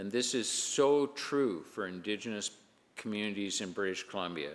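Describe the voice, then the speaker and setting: An unremarkable speaking voice from a man with a Canadian accent, fairly low in pitch, at a moderate pace and with lively intonation. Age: 60s. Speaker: provincial legislator. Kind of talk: parliamentary speech. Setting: legislative chamber. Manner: formal.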